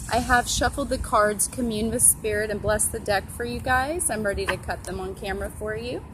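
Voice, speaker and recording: A woman is speaking with audible room echo. Noticeable background noise can be heard too. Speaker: tarot reader and astrologer. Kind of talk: tarot reading / casual talk to camera. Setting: outdoors. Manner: soft-spoken.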